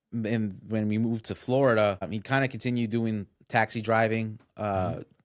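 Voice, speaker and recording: A man with a Spanish accent speaks at medium pitch and a moderate pace. His intonation is monotone and flat. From US Northeast, Westchester New York. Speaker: guest. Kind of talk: podcast interview. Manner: halting, many repetitions and fillers.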